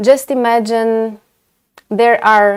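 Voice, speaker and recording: A woman's very slow speech with fairly even intonation. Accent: Romanian. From Romania, Timișoara (western). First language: Romanian. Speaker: orthodontist and lecturer. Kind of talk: webinar lecture. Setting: online webinar. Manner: hesitant, many fillers.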